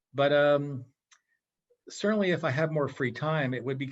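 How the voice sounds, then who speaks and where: In an American accent, a man with a plain, everyday voice speaks at a moderate pace with ordinary pitch variation. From western Massachusetts. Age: 60s. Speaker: physicist and business consultant. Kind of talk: casual interview chat.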